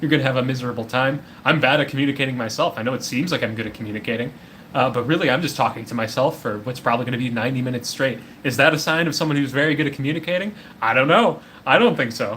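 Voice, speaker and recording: Very fast speech from a man at a medium pitch, ordinary pitch variation, noticeable background noise behind it. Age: 20s. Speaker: streamer. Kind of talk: solo tier list commentary. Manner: halting.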